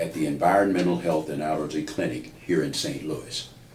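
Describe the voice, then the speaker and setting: A man's voice with audible room echo. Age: 70s. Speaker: patient. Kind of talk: testimony. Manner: formal.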